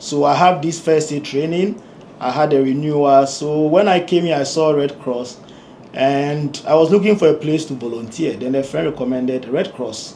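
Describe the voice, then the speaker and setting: A man's fairly high voice with ordinary pitch variation at a moderate pace, with audible room echo. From Ghana. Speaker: engineer and community leader. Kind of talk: interview. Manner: hesitant, with fillers.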